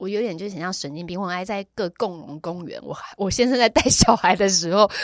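The sound is dry and close with no echo, and the voice shows ordinary pitch variation. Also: woman. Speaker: yoga and dance teacher, former radio host, event emcee. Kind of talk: casual chat. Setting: recording studio.

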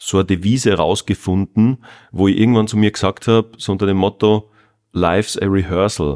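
A man talks in a normal speaking voice at a fairly low pitch and moderate pace. The recording is very clean with a silent background, dry and close with no echo. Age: 40s. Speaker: podcast host, online marketing consultant. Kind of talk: interview conversation; scripted outro. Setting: fitness studio.

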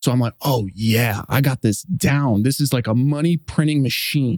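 A man with an unremarkable speaking voice talks at a moderate pace, the sound dry and close with no echo, on a very clean recording against a silent background. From US, Los Angeles. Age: 30s. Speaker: investor and former marine officer. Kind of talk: interview conversation.

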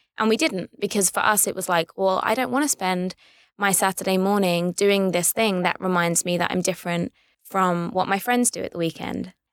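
Recorded dry and close with no echo, a woman with a London accent speaks at a moderate pace. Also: medium pitch for a woman, ordinary pitch variation. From London, England. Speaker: writer and producer. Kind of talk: casual interview.

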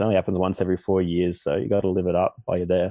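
The speech races along very fast in an Australian accent. Its intonation stays flat and monotone. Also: man. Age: 20s. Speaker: Olympic snowboarder. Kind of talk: casual interview.

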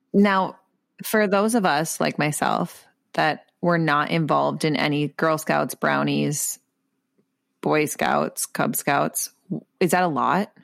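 A woman with a Minnesotan accent at a very slow pace, very even loudness, on a very clean recording with a silent background. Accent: Minnesotan Midwest accent, noticeable. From Minnesota, US Midwest. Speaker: podcast co-host. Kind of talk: casual chat.

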